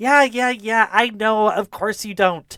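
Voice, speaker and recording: A put-on character voice, fairly high in pitch and fairly slow in pace. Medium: actual play. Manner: blunt, impatient.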